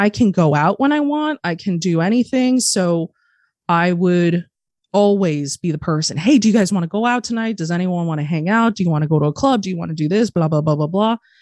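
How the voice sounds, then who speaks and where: With a General American accent, a woman speaks in a medium pitch with lively intonation and an animated tone, in a dry, close sound with no echo against a quiet background. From Arizona. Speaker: harm reduction advocate. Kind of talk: casual interview.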